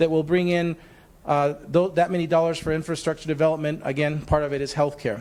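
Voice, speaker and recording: A man with a Spanish accent, fairly high in pitch, fairly quick in pace, and fairly even in intonation. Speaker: workforce development agency leader. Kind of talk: facilitated panel discussion.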